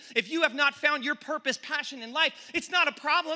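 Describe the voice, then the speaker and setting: Raised and projected, a man's extremely high-pitched voice carries an animated tone at a moderate pace. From San Francisco, California. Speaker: pastor. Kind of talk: sermon. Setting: university chapel with student audience. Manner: loud.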